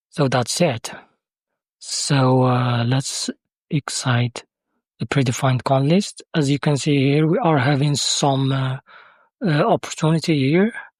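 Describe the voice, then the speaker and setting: The speaker has a non-native accent and talks at a fairly slow pace with long, frequent pauses. The recording is very clean, with a silent background. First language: Arabic. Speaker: software developer demoing own tool. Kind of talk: tutorial. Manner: halting, many fillers.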